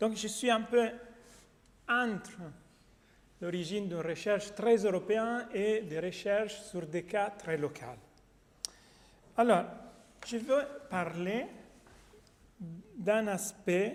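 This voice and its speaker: A man with a non-native accent and a high pitch, speaking at a very slow pace with long, frequent pauses, ordinary pitch variation and audible room echo. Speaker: academic researcher. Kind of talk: conference talk. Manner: halting.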